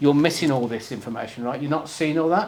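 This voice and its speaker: With a Birmingham accent, a man speaks at a fairly high pitch with ordinary pitch variation, and some room echo can be heard. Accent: Brummie. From Birmingham, England. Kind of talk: conference presentation with live demo. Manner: casual, conversational.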